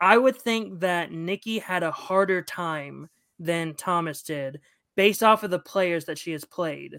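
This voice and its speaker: In a very clean recording with a silent background and a dry, close sound with no echo, a woman with an unremarkable speaking voice talks at a fairly slow pace, her pitch fairly low, with ordinary pitch variation. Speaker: podcast host. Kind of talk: casual chat.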